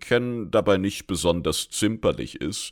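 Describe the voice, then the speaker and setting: The recording is very clean with a silent background, carrying a man's very deep, low pitch. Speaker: gaming lore podcaster. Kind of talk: solo lore commentary. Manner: casual, colloquial.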